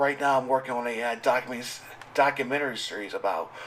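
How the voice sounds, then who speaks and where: Over noticeable background noise, a man speaks at a fairly quick pace and a medium pitch. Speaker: gamer and commentary vlogger. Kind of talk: casual monologue rant. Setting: home recording, sitting at microphone late at night. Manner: halting, many fillers and restarts; animated. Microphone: audio issues, raw uncut.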